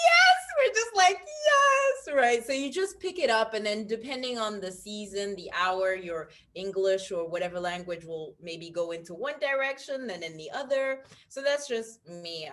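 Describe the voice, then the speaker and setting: A woman with an American accent and an unremarkable speaking voice, with lively intonation at a moderate pace. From international, expat child; born UK. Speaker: stylist. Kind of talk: interview.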